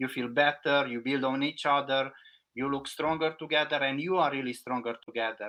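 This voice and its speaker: A man with a non-native accent, fairly high pitch, fairly even intonation and a fairly quick pace. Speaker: packaging consultant. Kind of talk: podcast interview.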